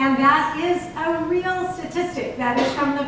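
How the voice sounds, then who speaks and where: Strong room echo and light background noise surround a woman with an American accent speaking at a fairly slow pace. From US West Coast, Berkeley, California. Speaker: mayoral candidate, city council member. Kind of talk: political debate. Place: classroom.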